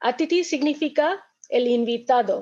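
A woman speaks with an Indian accent. Her pace is fairly slow. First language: Indian language (speaking Spanish). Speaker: restaurant events manager. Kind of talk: webinar talk. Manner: halting.

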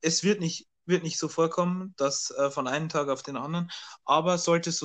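A man with a plain, everyday voice, fairly high-pitched, at a moderate pace over a quiet background. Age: young. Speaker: podcast co-host. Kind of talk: casual chat. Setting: remote recording.

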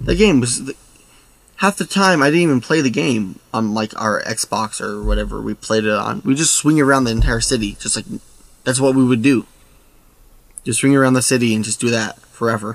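A man's medium-pitched voice at a fairly quick pace, with ordinary pitch variation and long, frequent pauses. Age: young. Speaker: podcast co-host. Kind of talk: casual chat.

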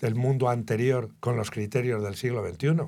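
This man speaks at a fairly slow pace in a medium pitch, with a dark, mellow tone and ordinary pitch variation. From Spain, Guadalajara. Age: 70s. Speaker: journalist and writer. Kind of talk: interview.

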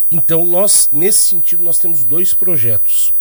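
A somewhat breathy man at a moderate pace, in a very clean recording with a silent background. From Rio Grande do Sul, Brazil (Canguçu). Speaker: state government adviser. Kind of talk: radio interview. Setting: radio studio.

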